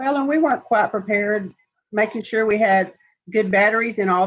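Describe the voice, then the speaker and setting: A woman with a Texan accent talks at a moderate pace and a fairly high pitch. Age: 60s. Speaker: insurance agent. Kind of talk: informational Q&A.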